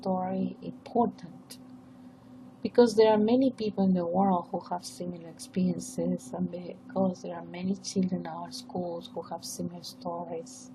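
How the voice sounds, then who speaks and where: With a Peruvian accent, a woman speaks at a fairly slow pace with big swings in loudness over noticeable background noise. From northern coast of Peru. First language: Spanish. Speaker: professor. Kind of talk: academic presentation. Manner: formal.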